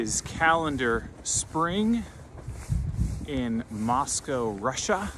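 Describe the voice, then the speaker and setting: A man talks at a very slow pace with lively intonation. The sound is dry with no echo, and there is noticeable background noise. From Florida. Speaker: vlogger. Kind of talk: casual vlog chat. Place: open country. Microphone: phone near.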